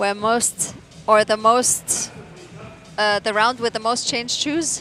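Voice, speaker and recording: Over music in the background, a woman with a non-native accent speaks at a fairly high pitch and a fairly slow pace, with ordinary pitch variation. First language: not English. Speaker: climbing commentator. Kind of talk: live commentary.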